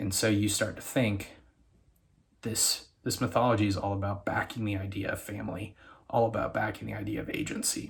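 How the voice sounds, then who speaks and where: Here a man speaks quietly. His pitch is fairly low. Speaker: YouTuber reviewing TV shows. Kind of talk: casual video commentary. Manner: quiet, keeping voice down.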